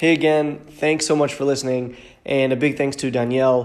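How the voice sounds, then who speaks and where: A man's medium-pitched voice with an American accent, monotone and flat, at a fairly quick pace. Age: 30s. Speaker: podcast host. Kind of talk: casual interview.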